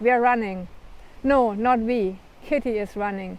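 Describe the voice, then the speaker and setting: Speaking with a German accent, the voice moves at a fairly slow pace with ordinary pitch variation. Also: woman. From Germany. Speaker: author. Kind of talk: reading aloud.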